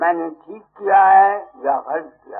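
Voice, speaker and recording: With music in the background, a man talks in a high pitch. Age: 80s+. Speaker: spiritual teacher. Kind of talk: sermon. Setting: satsang gathering with audience.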